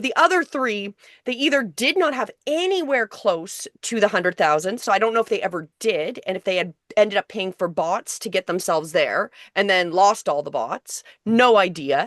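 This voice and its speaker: With very wide pitch swings around a medium pitch, a woman speaks in a dry, close sound with no echo against a quiet background. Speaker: online class teacher on video creation. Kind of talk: live group class discussion. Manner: fast.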